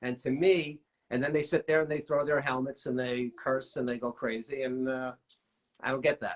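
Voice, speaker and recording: A man with an American accent speaks at a moderate pace in an unremarkable speaking voice, his intonation fairly even. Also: medium pitch for a man. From New York. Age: 60s. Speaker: amateur baseball hitting coach. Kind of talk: interview answer.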